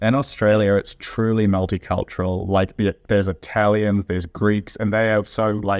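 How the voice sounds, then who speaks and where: Monotone, flat intonation from a man with a New Zealand accent and a fairly low pitch, with hardly any pauses and very even loudness, in a dry, close sound with no echo and a quiet background. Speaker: junior doctor. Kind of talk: interview. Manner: deliberately slowed speech.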